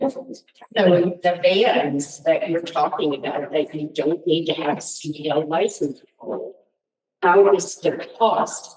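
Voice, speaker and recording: Here a woman speaks at a very slow pace. Her pitch is fairly low. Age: 60s. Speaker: community member asking questions at public meeting. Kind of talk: public meeting questioning.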